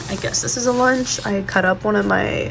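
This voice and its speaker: A woman keeps a moderate pace while noticeable background noise runs underneath. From St. Louis, Missouri. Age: 20s. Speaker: college nursing student. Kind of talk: casual vlog talk to camera.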